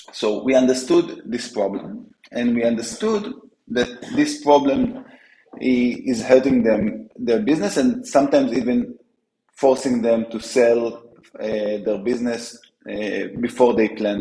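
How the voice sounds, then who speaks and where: A man with an Israeli accent at a fairly slow pace. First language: Hebrew. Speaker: startup co-founder. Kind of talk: interview. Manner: halting, many fillers and restarts.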